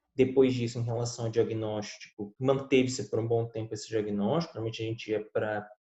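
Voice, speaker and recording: This man talks at a moderate pace in a medium pitch. His voice is somewhat breathy. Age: 20s. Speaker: lawyer. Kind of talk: interview.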